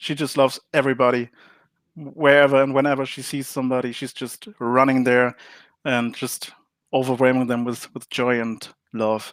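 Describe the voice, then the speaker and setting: In a very clean recording with a silent background, a man with a German accent speaks at a moderate pace in a medium pitch with monotone, flat intonation. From Germany. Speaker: board game designer. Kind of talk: interview. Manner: hesitant, many fillers.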